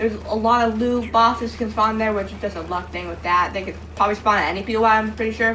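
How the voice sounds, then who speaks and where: A woman speaks at a very fast pace with hardly any pauses. There is audible room echo and noticeable background noise. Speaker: gaming youtuber. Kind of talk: gameplay commentary. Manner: casual, filler-heavy with false starts.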